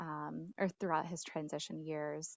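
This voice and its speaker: A woman speaks softly at a moderate pace. Her pitch is fairly low. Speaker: state education staff member. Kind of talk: online work meeting. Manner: soft-spoken; hesitant, many fillers.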